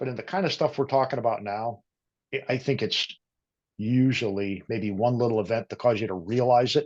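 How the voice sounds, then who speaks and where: A man with an ordinary speaking voice talks at a fairly quick pace, his pitch sitting in the medium range. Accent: American. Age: 50s. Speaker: career transition coach. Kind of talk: casual interview. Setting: podcast.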